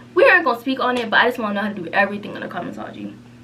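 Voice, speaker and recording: A woman's voice of ordinary pitch variation, with audible room echo and noticeable background noise. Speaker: beauty vlogger and cosmetology student. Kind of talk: casual chat. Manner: whispering.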